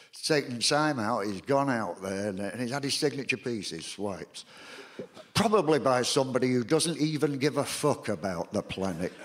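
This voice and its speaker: With lively intonation, a man speaks in a Salford accent. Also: medium pitch for a man, moderate pace. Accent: Salford, northern English. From Salford, England. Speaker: performance poet. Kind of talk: comic stage patter. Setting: live theatre audience. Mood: wry, sardonic storytelling. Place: home room.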